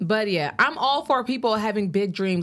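Lively intonation marks this woman's moderate-paced speech. The recording is very clean with a silent background. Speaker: podcast host. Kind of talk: casual chat. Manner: animated.

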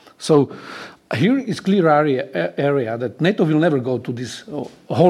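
A man with a Slovak accent, fairly high pitch, lively intonation and a fairly quick pace. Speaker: retired general and security expert. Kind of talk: panel discussion.

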